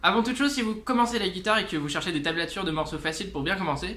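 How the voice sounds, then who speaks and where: Amid audible room echo, a man with a high pitch and a bright, sharp tone raises and projects his voice, with ordinary pitch variation. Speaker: guitar teacher and musician. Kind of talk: tutorial. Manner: casual, many hesitations.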